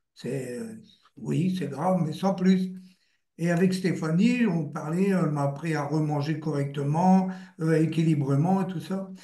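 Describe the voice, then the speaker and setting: In a room with audible echo, a man with a fairly high pitch and a dark, mellow tone speaks at a fairly slow pace, his loudness swinging widely and his pitch varying in an ordinary way. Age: 70s. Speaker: patient giving testimony, retired confectionery worker. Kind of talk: testimony. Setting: live video stream.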